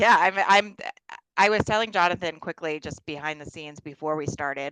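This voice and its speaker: A woman with an American accent speaks in a fairly low voice with a bright, sharp tone, her loudness swinging widely. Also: ordinary pitch variation, fairly quick pace. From US Northeast, Bronx, New York. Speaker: podcast host. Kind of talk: interview. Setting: video call.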